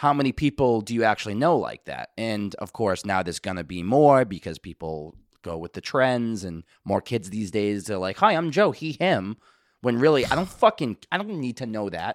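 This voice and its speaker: A man with a Boston accent speaks at a moderate pace and medium pitch, with very wide pitch swings and big swings in loudness. The recording is very clean with a silent background, dry and close with no echo. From Boston, US Northeast. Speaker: musician and podcast co-host. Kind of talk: casual chat.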